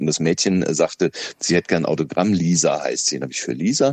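A man's very deep, low voice goes at a fairly quick clip. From Lower Franconia, Bavaria (Schöllkrippen, near Aschaffenburg). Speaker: radio host and comedian. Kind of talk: casual interview.

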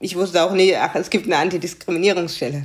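A woman with a fairly low-pitched voice speaks with a slight Baden accent. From Germany, Karlsruhe (Baden). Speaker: diversity coach. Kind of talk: interview.

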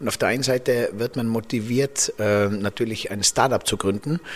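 At a moderate pace, a man uses an ordinary speaking voice at medium pitch with ordinary pitch variation. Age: 40s. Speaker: podcast host. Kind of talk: interview. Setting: office.

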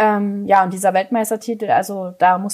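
This woman talks at a medium pitch, her voice somewhat breathy. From Saxony, eastern Germany. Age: 20s. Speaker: trap shooting athlete. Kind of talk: interview.

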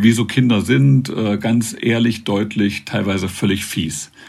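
A man speaks at a fairly slow pace in a fairly low voice. It is an unremarkable speaking voice. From eastern Germany, northern Thuringia. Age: 50s. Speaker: author and public speaker. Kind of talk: interview.

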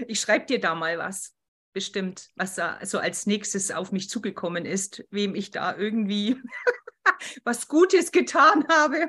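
Her pitch swings very widely. The woman's tone is bright and sharp. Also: medium pitch for a woman, fairly slow pace. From Bavaria, Berchtesgaden. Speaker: podcast host. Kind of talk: casual interview.

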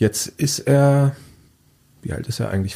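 A man speaks here. His tone is dark and mellow, and somewhat breathy. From Lower Saxony, near Diepholz. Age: 40s. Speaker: journalist and author. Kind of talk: interview. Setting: studio.

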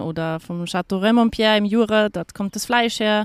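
With a dry, close sound and no echo, a woman speaks with ordinary pitch variation. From Austria. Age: 30s. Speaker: hotel manager. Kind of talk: interview. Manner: hesitant, many fillers and repetitions.

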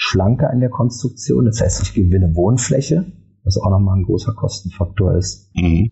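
Vocal fry runs through a delivery of very even loudness. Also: man. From Germany, Berlin. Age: 50s. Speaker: architect and property developer. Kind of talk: podcast interview.

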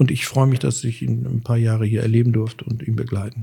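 Moving at a fairly quick pace, a man speaks in a medium pitch with fairly even intonation. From Sauerland, Germany. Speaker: chef and restaurant owner. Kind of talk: casual interview. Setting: at home. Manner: hesitant with fillers.

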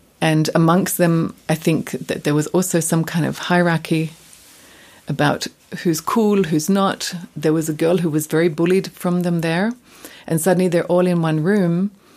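Over music in the background, a woman speaks at a moderate pace with a fairly low pitch and monotone, flat intonation. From Australia, Adelaide. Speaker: dancer. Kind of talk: interview.

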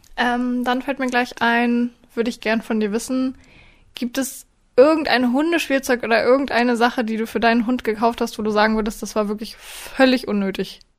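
A woman speaks at a moderate pace in a high voice with fairly even intonation. The recording is very clean, with a silent background. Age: 20s. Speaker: dog trainer and podcast host. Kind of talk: casual chat.

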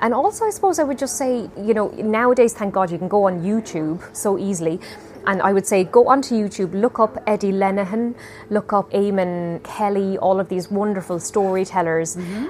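A woman speaks at a fairly quick pace in an Irish accent. Noticeable background noise runs under her voice. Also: medium pitch for a woman, ordinary pitch variation. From Ireland. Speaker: storyteller and singer. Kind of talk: interview.

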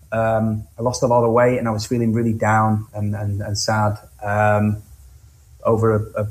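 A man talks at a moderate pace and a medium pitch. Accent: Lancashire. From northwest England, Blackpool (Cleveleys). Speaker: singer-songwriter. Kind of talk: interview.

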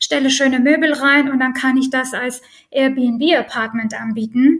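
A woman with a high pitch speaks at a fairly slow pace in a monotone, flat intonation. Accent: Armenian. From Armenia. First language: Armenian (speaking German). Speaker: real estate lawyer. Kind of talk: interview.

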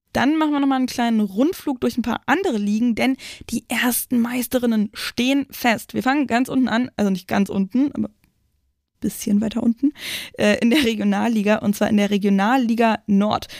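In a dry, close sound with no echo, a woman with a fairly high pitch speaks in an animated tone, with ordinary pitch variation and very even loudness. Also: moderate pace. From Brandenburg, near Berlin. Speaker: football podcast host. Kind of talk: news roundup; casual chat.

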